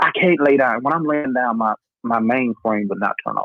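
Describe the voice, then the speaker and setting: The speaker talks at a moderate pace in a Southern US accent. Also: man. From North Carolina. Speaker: podcast host. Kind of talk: casual chat. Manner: animated.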